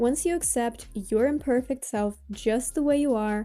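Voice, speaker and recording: This woman has a fairly high pitch and a dark, mellow tone, with a Russian accent. Her pace is moderate and her pitch variation ordinary. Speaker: self-help vlogger. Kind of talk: motivational talk to camera.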